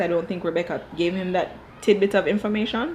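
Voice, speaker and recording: A woman with a Jamaican accent talks in an animated tone at medium pitch with ordinary pitch variation. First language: Dutch. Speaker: TV show reviewer. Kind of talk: casual commentary.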